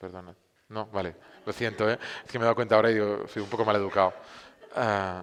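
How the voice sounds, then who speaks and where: Talking at a very fast pace yet with long, frequent pauses, a man keeps a fairly low pitch in monotone, flat intonation. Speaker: film streaming platform cofounder, speaker. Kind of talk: conference talk. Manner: hesitant, many fillers and restarts.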